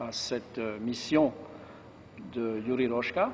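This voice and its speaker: Pitched in the medium range, a man with a French accent speaks with fairly even intonation. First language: French (speaking Romanian). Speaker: monk, book launch speaker. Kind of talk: formal speech. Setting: book launch event.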